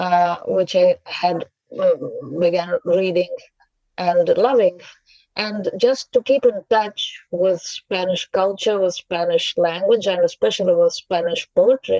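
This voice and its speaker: A woman with a Russian accent at a fairly slow pace, the sound dry and close with no echo. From Russia, Saint Petersburg. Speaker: poet and translator. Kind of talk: interview. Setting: podcast. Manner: halting, many fillers.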